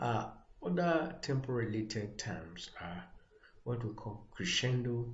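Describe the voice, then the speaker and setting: Speaking at a very slow pace with a Nigerian accent, this somewhat breathy voice has lively intonation and audible room echo. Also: man. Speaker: music theory tutor. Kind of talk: lecture. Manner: halting, many fillers.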